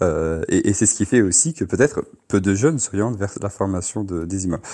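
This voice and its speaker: His intonation rises and falls in a lively way. The man keeps a fairly quick pace. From France, Paris region. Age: 20s. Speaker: imam. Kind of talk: radio interview. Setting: phone line. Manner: halting, many repetitions and fillers.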